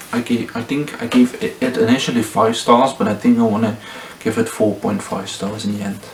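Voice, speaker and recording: A man talks over noticeable background noise. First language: not English. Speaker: booktuber. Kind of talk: casual book review vlog. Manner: hesitant, many fillers.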